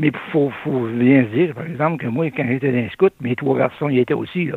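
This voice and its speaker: With a Québécois accent, a man speaks at medium pitch and a moderate pace, his pitch varying in an ordinary way. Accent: rural Québécois French. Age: old. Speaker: retired trucker, community volunteer. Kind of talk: radio interview.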